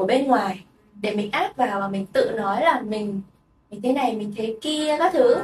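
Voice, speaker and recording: A woman speaks with lively intonation. Her loudness swings widely. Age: 20s. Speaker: podcast host. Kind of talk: casual chat.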